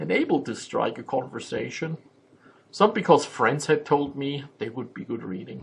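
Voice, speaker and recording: A man with a German accent at a moderate pace. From Germany. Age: 50s. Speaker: vlogger and memoir writer. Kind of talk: personal vlog monologue. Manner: halting, many filler sounds.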